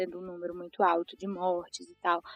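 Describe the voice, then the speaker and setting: The recording is dry and close, free of any echo. A woman talks in a medium pitch. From Brazil, interior of Ceará (Tianguá). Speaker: market researcher. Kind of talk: casual chat.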